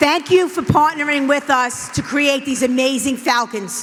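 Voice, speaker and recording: A woman speaks at a high pitch. Her voice is loud. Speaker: school administrator. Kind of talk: ceremony remarks. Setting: board meeting with audience.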